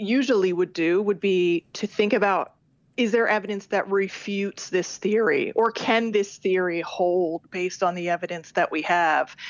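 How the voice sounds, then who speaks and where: Speaking fairly slowly, a woman with an unremarkable speaking voice keeps a medium pitch and fairly even intonation. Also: very even loudness. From Canada. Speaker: criminology professor. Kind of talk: interview.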